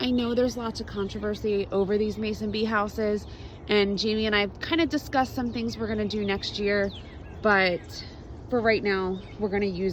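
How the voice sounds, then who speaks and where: Animated woman's speech at a medium pitch and fairly quick pace, with ordinary pitch variation. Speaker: homesteader and gardening vlogger. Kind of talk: casual walk-through garden tour. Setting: outdoors.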